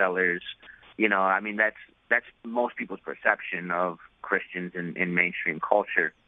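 In a New York accent, a man with a very deep, low pitch speaks at a moderate pace in a monotone, flat intonation. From New York City. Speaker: rapper. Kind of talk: interview.

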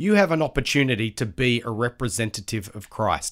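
Here a man with an Australian accent uses very wide pitch swings. The recording is very clean, with a silent background. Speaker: Bible college lecturer. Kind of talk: casual interview, devotional encouragement.

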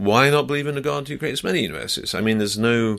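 Speaking with an English accent, a man talks at a medium pitch and a very fast pace. His intonation is lively, and the recording is very clean with a silent background. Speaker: scientist. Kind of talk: interview. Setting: radio studio.

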